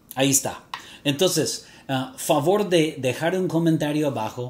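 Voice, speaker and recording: Speaking at a very slow pace with an English accent, a man sounds somewhat breathy and shows ordinary pitch variation. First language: English (speaking Spanish). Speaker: fragrance reviewer YouTuber. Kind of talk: vlog to camera. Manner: halting, with fillers.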